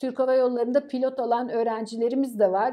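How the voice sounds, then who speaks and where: Recorded against a quiet background, a woman is speaking. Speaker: professor. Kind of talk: interview. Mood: warm, proud of students. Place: office. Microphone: camera far.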